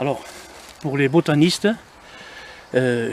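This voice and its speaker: A man talks at a fairly slow pace with a fairly high pitch. His pitch varies in an ordinary way against noticeable background noise. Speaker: walking group leader. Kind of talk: casual vlog walking tour. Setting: outdoors. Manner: speaking softly.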